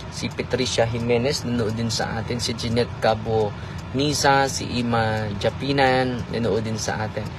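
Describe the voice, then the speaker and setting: A man speaks at a moderate pace in a monotone, flat intonation. The sound is dry with no echo, though there is noticeable background noise. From Philippines. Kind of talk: casual chat. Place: car. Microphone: phone near.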